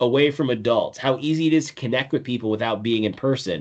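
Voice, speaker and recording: A man speaks against a quiet background. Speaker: presenter / wellness speaker. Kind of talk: presentation / webinar. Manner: fast.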